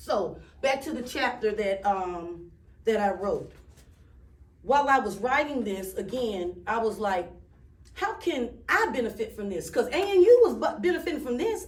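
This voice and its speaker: A woman speaks at a moderate pace with a high pitch and very wide pitch swings. Noticeable background noise and audible room echo fill the recording. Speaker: speaker with a doctorate, author. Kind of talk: public speech. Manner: halting, self-interrupting; conversational with audience responses.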